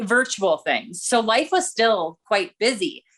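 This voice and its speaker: Using a normal speaking voice, a woman talks at a fairly slow pace with a fairly high pitch. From rural Minnesota. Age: 40s. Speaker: former Olympic runner and race commentator. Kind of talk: podcast interview.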